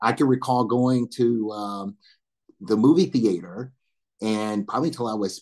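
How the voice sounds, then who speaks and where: A man speaks in an American accent at a medium pitch. His pitch varies in an ordinary way. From US South, northern Alabama. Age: 60s. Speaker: military veteran and corporate board director. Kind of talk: panel interview, personal life story.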